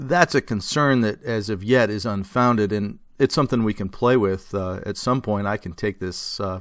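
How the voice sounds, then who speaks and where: Over a quiet background, a man speaks at a moderate pace and a fairly low pitch with ordinary pitch variation, the sound dry with no echo. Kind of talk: tutorial. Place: workshop.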